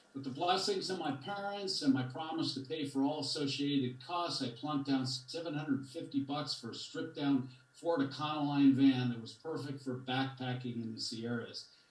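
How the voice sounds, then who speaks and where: Audible room echo surrounds a man with a fairly high pitch and ordinary pitch variation. He keeps a moderate pace with hardly any pauses and big swings in loudness. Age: 70s. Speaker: community member speaking at public comment. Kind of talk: prepared public comment. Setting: video call. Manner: storytelling.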